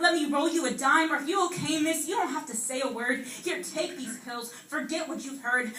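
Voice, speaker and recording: A woman talks at a fairly quick pace in a raised, projected voice. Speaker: slam poet. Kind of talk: slam poetry performance.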